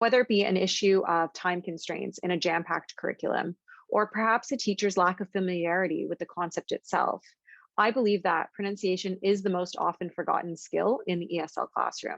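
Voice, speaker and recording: At a fairly quick pace, a woman with a Canadian accent, an ordinary speaking voice and a medium pitch talks with fairly even intonation, the sound dry and close with no echo against a quiet background. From Canada. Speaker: ESL teacher, video host. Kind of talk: panel discussion; scripted introduction.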